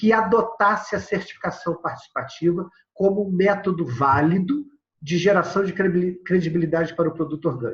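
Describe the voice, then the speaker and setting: A man's high-pitched voice at a fairly quick pace. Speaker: agroecology organization founder, lecturer. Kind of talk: recorded video lecture with slides. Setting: prerecorded remote presentation. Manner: fast.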